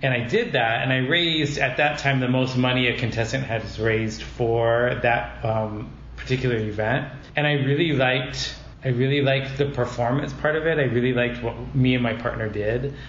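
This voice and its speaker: A man's medium-pitched voice, fairly even in intonation and very even in loudness, with audible room echo and noticeable background noise. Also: moderate pace. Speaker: drag pageant titleholder. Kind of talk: casual chat. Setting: conference room. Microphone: echo in room.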